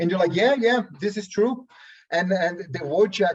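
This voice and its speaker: With lively intonation, a man talks at a moderate pace. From Brazil. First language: Portuguese. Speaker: workshop participant. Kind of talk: seminar discussion. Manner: halting, many restarts.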